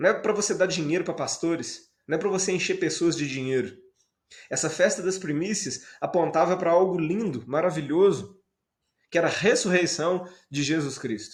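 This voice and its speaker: A man's high voice, varying in pitch in an ordinary way, rings with audible room echo. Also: moderate pace. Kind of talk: sermon.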